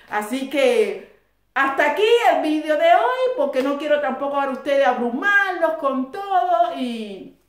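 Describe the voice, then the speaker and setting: With audible room echo, a woman talks in a high pitch and lively intonation. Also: fairly slow pace. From Cuba. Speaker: YouTuber. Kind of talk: casual history talk to viewers. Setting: at home. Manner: conversational.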